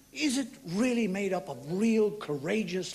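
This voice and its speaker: A man talks with ordinary pitch variation. Loud background noise sits behind him. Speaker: stand-up comedian. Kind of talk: stand-up comedy monologue. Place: stage. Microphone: handheld.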